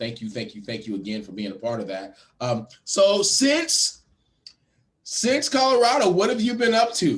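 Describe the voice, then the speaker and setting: There are big swings in loudness as a man speaks at a moderate pace. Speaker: podcast host. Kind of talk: casual interview. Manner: halting, many fillers and repeats.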